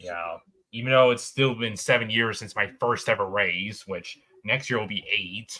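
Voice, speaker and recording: A man talks in a normal speaking voice at a medium pitch. His pace is moderate and his intonation fairly even. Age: young. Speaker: livestream co-host. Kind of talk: casual chat.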